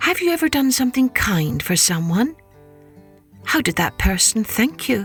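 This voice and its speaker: Over background music, a woman with a warm tone and fairly high pitch speaks at a moderate pace, her pitch swinging very widely while her loudness stays very even, with long, frequent pauses. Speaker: storyteller, podcast host. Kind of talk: children's storytelling podcast narration. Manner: warm, conversational.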